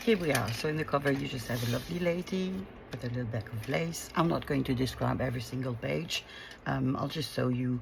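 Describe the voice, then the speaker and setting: Speaking with a French accent, a woman uses a very deep, low pitch and lively intonation at a fairly quick pace. Background noise is noticeable. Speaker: craft youtuber. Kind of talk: craft tutorial. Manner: halting, many fillers.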